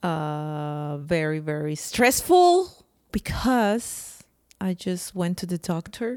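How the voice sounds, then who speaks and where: Lively intonation carries a strong non-native accent at a very slow pace. The recording is very clean against a silent background. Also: woman, fairly low pitch for a woman. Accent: thick foreign accent in English. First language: not English. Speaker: podcast co-host. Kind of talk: casual chat.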